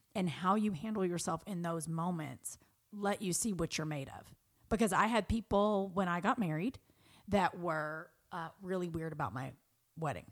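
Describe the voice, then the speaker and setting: A woman's fairly low voice at a moderate pace, with ordinary pitch variation. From US South. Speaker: friend of the host. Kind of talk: casual chat. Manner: animated.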